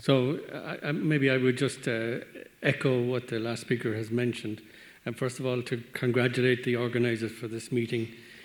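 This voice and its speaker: A man with an Irish accent, medium pitch, monotone and flat intonation, at a moderate pace. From Ireland. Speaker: veterinary medicines regulator. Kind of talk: conference Q&A comment.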